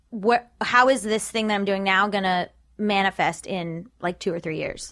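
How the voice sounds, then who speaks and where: A woman with an ordinary speaking voice talks at a moderate pace in a medium pitch. Her intonation is fairly even, and the recording is very clean with a silent background. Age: 30s. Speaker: comedian and writer. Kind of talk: casual interview chat.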